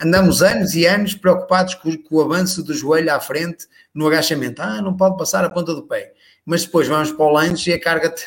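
Speaking with a European Portuguese accent, a man talks at a fairly quick pace in a fairly high pitch with fairly even intonation. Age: 40s. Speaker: personal trainer. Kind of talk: casual chat. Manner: halting, many repetitions.

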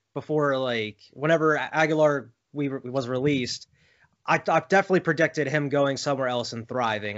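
A man with an American accent speaks in an ordinary speaking voice at a fairly quick pace. His pitch is fairly high, with ordinary variation. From Philadelphia area. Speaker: sports podcast host. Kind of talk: casual interview chat.

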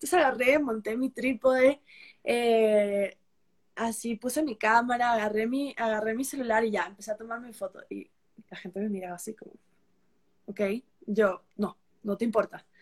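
A woman's somewhat breathy voice, fairly high in pitch with ordinary pitch variation, big swings in loudness and long, frequent pauses. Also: moderate pace. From Peru. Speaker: travel content creator. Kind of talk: casual interview.

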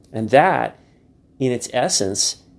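At a fairly slow pace and with ordinary pitch variation, a man speaks in a very clean recording with a silent background. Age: 40s. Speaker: podcast host, public speaking coach. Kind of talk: monologue podcast. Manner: halting with frequent repetitions.

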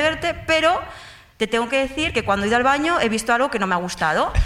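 Over noticeable background noise and audible room echo, a woman with a high voice speaks very fast with lively intonation. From Mallorca, Spain. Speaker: audience member. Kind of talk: storytelling before a live audience. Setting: stage with audience.

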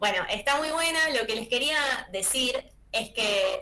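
Her intonation is lively, and she talks at a fairly slow pace. There is noticeable background noise behind this woman. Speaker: film and series columnist. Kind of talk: radio column, casual chat.

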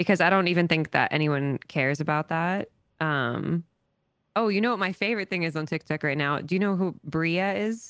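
A woman with an American accent speaks in a normal speaking voice at a fairly low pitch and a moderate pace, her sound dry and close with no echo over a quiet background. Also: ordinary pitch variation. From US South, small town. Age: 30s. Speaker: TikTok creator and dog walker. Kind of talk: casual chat. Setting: podcast.

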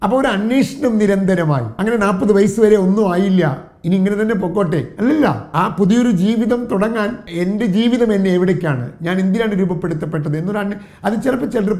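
A man speaks with lively intonation over noticeable background noise, his voice carrying an audible room echo. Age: 50s. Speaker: motivational trainer. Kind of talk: motivational talk.

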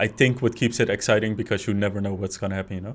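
This man has a fairly low-pitched voice. His intonation stays fairly even. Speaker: podcast host. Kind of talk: casual interview.

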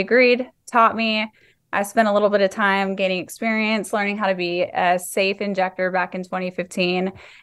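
Speaking with a Texan accent, a woman keeps a moderate pace, a medium pitch and fairly even intonation. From Texas, Fort Worth. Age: 30s. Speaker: nurse practitioner and med spa owner. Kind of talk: interview.

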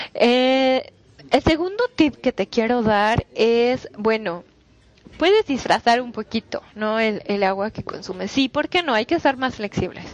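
Her high voice carries lively intonation. The woman goes at a fairly slow pace in a dry, close sound with no echo. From Mexico, Toluca. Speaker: nutritionist. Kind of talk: solo podcast talk. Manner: halting, many fillers.

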